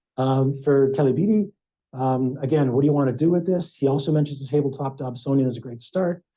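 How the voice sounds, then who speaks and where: A man with a dark, mellow tone and fairly high pitch speaks very fast and somewhat breathily, with ordinary pitch variation. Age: 60s. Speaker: amateur astronomer. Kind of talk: club presentation.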